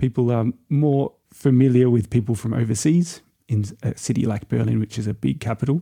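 A man with an Australian accent talks at a fairly quick pace and medium pitch, with ordinary pitch variation. His tone is dark and mellow, and the sound is dry and close with no echo. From Australia, Byron Bay. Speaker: traveller. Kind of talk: casual chat.

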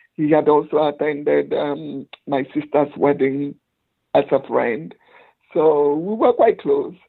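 In a Nigerian accent, a woman speaks at a very slow pace. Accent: Nigerian Igbo English. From Nigeria, Igbo village. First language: Igbo. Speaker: lawyer and motivational speaker. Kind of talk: interview storytelling.

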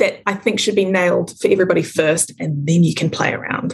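A somewhat breathy woman's voice with a New Zealand accent. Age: 20s. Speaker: small business owner. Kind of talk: casual interview.

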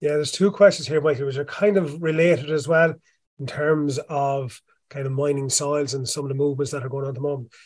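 In an Irish accent, a man with a fairly high pitch speaks at a very fast pace in a somewhat breathy voice. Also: fairly even intonation. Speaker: crops specialist, Q&A facilitator. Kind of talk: reading audience questions. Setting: online webinar.

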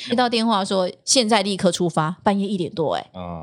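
Speaking at a fairly quick pace, a woman with a medium pitch comes through on a very clean recording with a silent background. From Taiwan, Tainan. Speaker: TV news anchor and former reporter. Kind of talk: casual interview chat.

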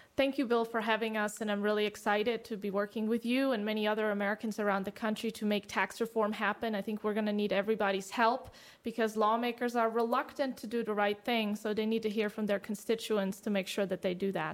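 A woman with a fairly high pitch races along at a very fast pace, with hardly any pauses. Her intonation is monotone and flat, and the recording is very clean with a silent background. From Germany. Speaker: economist, fiscal policy expert. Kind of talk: interview.

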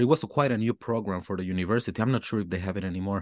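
The speaker has a Mexican accent and talks at a very fast pace. The background stays quiet. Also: man, dry, close sound with no echo. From Mexico. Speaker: hip hop artist. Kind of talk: casual interview chat. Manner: halting, searching for words.

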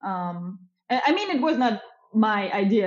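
A woman with a German accent talks at a fairly slow pace and a medium pitch. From Germany. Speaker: tourism entrepreneur. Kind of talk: casual interview chat.

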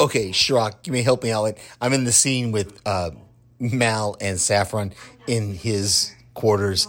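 A man talks at a fairly slow pace with an American accent and a fairly low pitch. His is a plain, everyday voice. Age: 50s. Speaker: listener and retired air force veteran. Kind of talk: voicemail.

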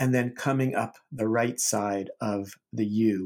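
Speaking very slowly, a man keeps a calm, dark, mellow tone at a fairly low pitch with fairly even intonation. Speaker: Zen teacher and podcast host. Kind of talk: poem reading aloud, measured and contemplative; guided meditation and talk. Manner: slow, reflective, soft-spoken, with pauses between lines; calm, unhurried, hesitant with fillers.

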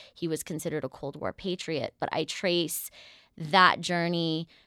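A woman with an American accent speaks at a fairly low pitch in a bright, sharp tone, recorded very cleanly with a silent background and a dry, close sound with no echo. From US Southwest (northern New Mexico). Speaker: dancer and choreographer, director of a dance company. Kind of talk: interview.

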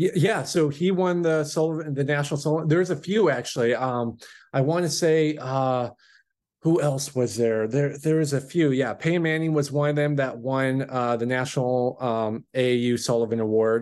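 Speaking with an American accent at a moderate pace, a man uses a plain, everyday voice, fairly high in pitch, with ordinary pitch variation and very even loudness. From Washington State, US. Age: 20s. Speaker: farm operations manager. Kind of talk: casual chat.

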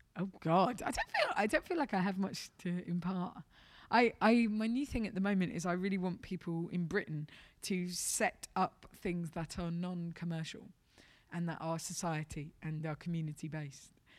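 A woman's fairly low voice with an English accent, at a moderate pace and with ordinary pitch variation. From London, England. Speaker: stand-up comedian. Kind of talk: interview.

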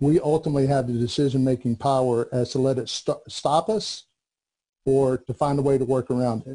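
Talking at a fairly quick pace, a man with an American accent has a medium pitch, a dark, mellow tone, a somewhat breathy quality and fairly even intonation. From US South, North Carolina. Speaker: Air Force veteran and business consultant. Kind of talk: interview.

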